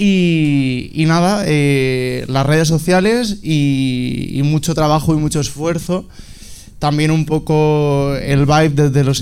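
A man speaks at a fairly high pitch with ordinary pitch variation. Room echo is audible. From Alicante, Spain. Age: 20s. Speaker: fashion designer. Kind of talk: panel discussion. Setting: stage with audience. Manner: halting.

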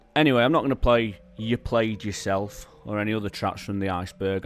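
With music in the background, a man in a Manchester accent speaks at a moderate pace. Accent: northern English, Manchester area. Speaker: radio DJ presenting a monthly music show. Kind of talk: radio DJ patter between tracks, rhyming intros and music trivia. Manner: warm, enthusiastic, with alliteration and rhyme.

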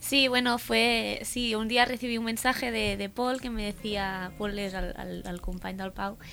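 A woman speaks at a fairly slow pace with hardly any pauses. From Catalonia. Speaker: stand-up comedian. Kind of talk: casual chat.

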